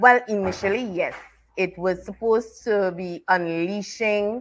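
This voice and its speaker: This woman speaks with a Trinidadian accent. Her voice sits at a medium pitch. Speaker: author and teacher. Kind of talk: interview.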